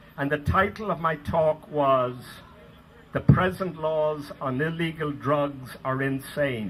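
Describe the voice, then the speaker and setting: Over noticeable background noise, a man with an American accent talks at a very slow pace, his fairly high pitch showing ordinary variation. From Ireland. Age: 70s. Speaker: activist. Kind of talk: public speech.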